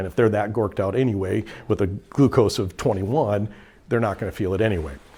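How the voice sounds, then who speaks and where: His voice carries a somewhat breathy quality. The man speaks very fast. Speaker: EMS instructor; EMS trainer. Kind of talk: training lecture; lecture. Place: classroom.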